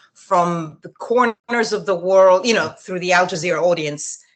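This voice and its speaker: A woman with an Italian accent talks at a fairly quick pace, her pitch fairly low with ordinary variation. The background is quiet. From Italy. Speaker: journalist and TV news presenter. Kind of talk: interview answer. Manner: casual, conversational.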